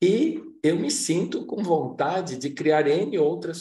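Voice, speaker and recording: A man with a dark, mellow, somewhat breathy voice speaks at a very slow pace amid audible room echo. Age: 60s. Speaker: workshop facilitator. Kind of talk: lecture.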